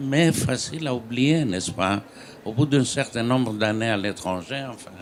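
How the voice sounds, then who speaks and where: Speaking with a Greek accent, a man keeps to a very slow pace. His medium pitch shows ordinary variation. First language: Greek (speaking French). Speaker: writer. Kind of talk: panel discussion.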